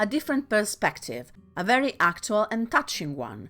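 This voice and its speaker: The voice swings very widely in pitch and moves at a moderate pace. Music plays in the background. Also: woman. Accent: non-native. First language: not English. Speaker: video essayist. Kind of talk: video essay narration.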